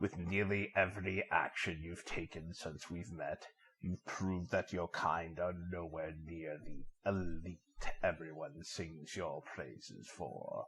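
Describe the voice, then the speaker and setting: Using a put-on character voice, a man speaks at a fairly slow pace with a very deep, low pitch. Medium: audio drama. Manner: calm, almost mocking.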